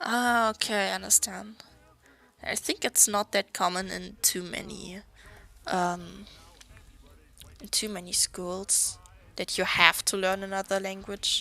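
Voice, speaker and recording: Speech comes at a fairly slow pace with long, frequent pauses in a German accent. The tone is bright and sharp, the intonation monotone and flat. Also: woman, medium pitch for a woman. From Germany. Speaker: artist streamer. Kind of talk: casual chat.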